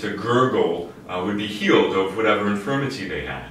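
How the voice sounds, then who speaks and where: Audible room echo and light background noise surround a man's fairly low voice. His pitch varies in an ordinary way. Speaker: priest. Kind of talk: sermon. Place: home room. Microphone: camera far.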